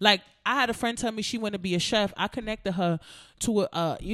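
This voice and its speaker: Very clean recording with a silent background. A woman with an American accent speaks very fast with lively intonation. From US. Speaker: rapper and co-host. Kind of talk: casual chat.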